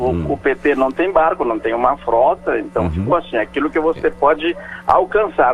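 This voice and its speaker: Music in the background behind a man with a fairly high voice, very wide pitch swings and a moderate pace. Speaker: professor, etymology columnist. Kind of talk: radio explanation of word origins.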